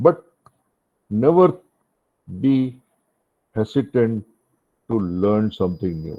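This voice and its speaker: Very slowly and with long, frequent pauses, the voice swings very widely in pitch. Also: man, fairly low pitch for a man. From India. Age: 70s. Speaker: retired maritime educator. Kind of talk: guest talk to cadets.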